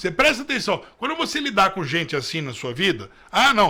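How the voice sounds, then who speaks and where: A man projects a raised voice with a bright, sharp tone. His pitch swings very widely at a moderate pace. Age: 40s. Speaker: political commentator. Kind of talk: news commentary. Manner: animated.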